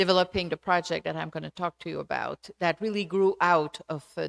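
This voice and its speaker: A woman's fairly low, flat, monotone voice in a Quebec accent at a moderate pace, on a very clean recording with a silent background. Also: dry, close sound with no echo. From Quebec, Canada. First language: French. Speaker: sociology professor. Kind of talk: lecture. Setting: auditorium with audience. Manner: halting.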